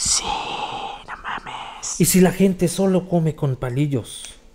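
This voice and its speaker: A man talks over noticeable background noise. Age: 20s. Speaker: comedy podcast co-host. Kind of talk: casual comedic chat.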